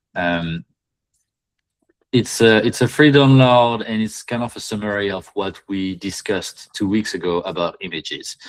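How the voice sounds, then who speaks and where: A man talks with a fairly low pitch, keeping to a moderate pace. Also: ordinary pitch variation. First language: not English. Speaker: Etsy listing reviewer, live session host. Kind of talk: live online listing review. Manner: halting, many fillers.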